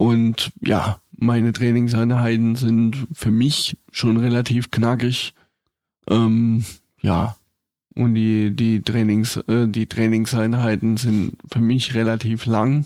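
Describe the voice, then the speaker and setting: A man speaks at a very slow pace in a monotone, flat intonation, his loudness very even. His tone is dark and mellow, and the sound is dry and close with no echo. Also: medium pitch for a man. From rural area near Karlsruhe, Baden. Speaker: wheelchair powerlifter. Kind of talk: casual chat.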